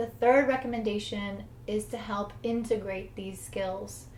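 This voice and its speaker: A woman with an American accent speaks at a fairly slow pace and a medium pitch. Her intonation is fairly even, with audible room echo. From United States. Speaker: English teacher. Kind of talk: tutorial.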